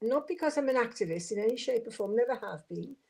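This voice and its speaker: This woman has a Welsh accent. Her pitch sits fairly high. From Wales, Swansea. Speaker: former local councillor. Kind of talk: podcast interview.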